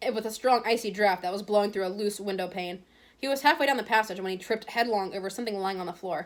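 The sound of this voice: The speaker reads in an unforced voice.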